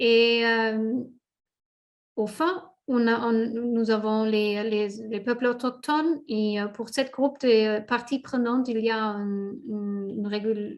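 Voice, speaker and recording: A woman with a non-native accent speaks at a very slow pace and a fairly high pitch. Her intonation is fairly even, and the background is quiet. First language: not French (speaking French). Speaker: safeguards expert presenter. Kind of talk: webinar presentation; Q&A moderation. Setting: online webinar. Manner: halting, many hesitations.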